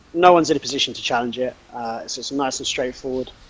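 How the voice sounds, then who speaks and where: Speaking with a British accent, a man uses a fairly high pitch and ordinary pitch variation. His pace is fairly quick. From Britain. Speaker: esports commentator. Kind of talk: live commentary.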